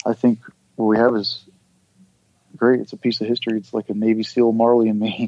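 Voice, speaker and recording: A man with an American accent, medium in pitch and dark, mellow in tone, at a fairly quick pace broken by long, frequent pauses, with monotone, flat intonation and a dry, close sound with no echo. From Southeast Texas. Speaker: former Navy SEAL and author. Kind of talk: casual interview. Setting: podcast interview.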